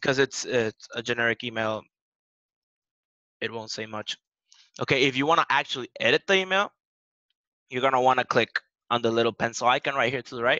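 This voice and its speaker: A man's bright, sharp tone at a fairly quick pace, with long, frequent pauses and a dry, close sound with no echo. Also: medium pitch for a man, ordinary pitch variation. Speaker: software support trainer. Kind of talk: tutorial. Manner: fast.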